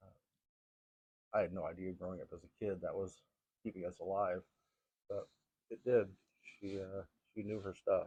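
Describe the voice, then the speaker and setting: A man mumbles with long, frequent pauses. His loudness swings a lot. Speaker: gardening vlogger. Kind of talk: casual vlog talk. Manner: mumbling; fast.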